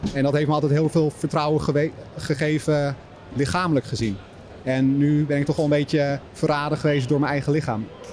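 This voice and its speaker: A man's fairly high voice at a fairly quick pace, intonation fairly even, over noticeable background noise. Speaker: fitness influencer and author. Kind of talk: interview before live audience. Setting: live event with audience.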